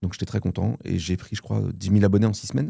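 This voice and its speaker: A man's fairly low voice, an ordinary speaking voice, with ordinary pitch variation on a very clean recording with a silent background. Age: 30s. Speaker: film content creator. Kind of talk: casual interview chat.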